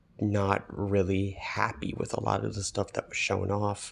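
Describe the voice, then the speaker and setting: A soft-spoken man at a fairly slow pace. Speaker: gaming video commentator. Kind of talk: casual commentary. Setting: echoey vacation room. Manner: halting.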